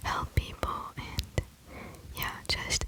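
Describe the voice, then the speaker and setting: Noticeable background noise surrounds a voice that is whispering. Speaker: ASMR creator. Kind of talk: ASMR poetry reading. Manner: whispered.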